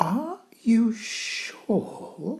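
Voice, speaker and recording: A put-on character voice, fairly high in pitch. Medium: read story. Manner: gentle.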